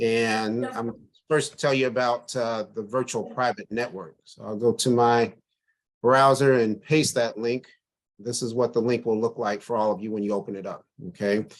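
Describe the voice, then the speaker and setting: Speaking at a moderate pace against a quiet background, a man uses a plain, everyday voice at medium pitch with fairly even intonation. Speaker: crypto investment presenter. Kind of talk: online webinar tutorial.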